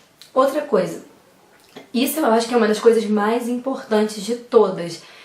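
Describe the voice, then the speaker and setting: A woman with a fairly high pitch talks at a fairly quick pace, her pitch varying in an ordinary way. Audible room echo and noticeable background noise are present. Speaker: speech therapist giving public speaking tips. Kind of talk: tutorial. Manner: fast.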